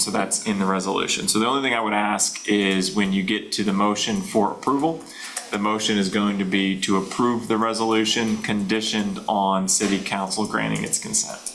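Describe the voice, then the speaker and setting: Moderate pace with hardly any pauses, fairly even intonation and very even loudness, plus audible room echo and noticeable background noise. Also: man. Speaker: board attorney. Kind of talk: board meeting discussion. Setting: public board meeting.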